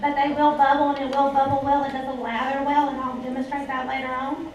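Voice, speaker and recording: Amid noticeable background noise and audible room echo, a woman speaks in a high pitch with flat, monotone intonation. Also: fairly quick pace. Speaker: former teacher giving a product talk. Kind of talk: product presentation to a live audience. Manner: gets loud at times.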